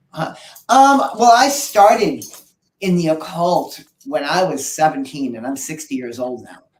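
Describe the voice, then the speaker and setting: Audible room echo surrounds a man with a fairly high pitch whose voice makes very wide pitch swings and big swings in loudness. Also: fairly slow pace. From New England. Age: 50s. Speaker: occult shop owner and witchcraft teacher. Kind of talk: casual chat.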